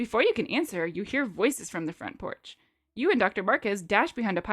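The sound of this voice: Against quiet surroundings, the text comes in an unforced reading voice.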